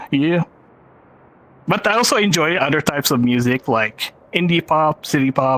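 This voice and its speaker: A man with a Filipino accent talks at a fairly slow pace. His pitch is fairly high, with ordinary pitch variation. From Philippines. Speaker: film director and VR filmmaker. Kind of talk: panel presentation.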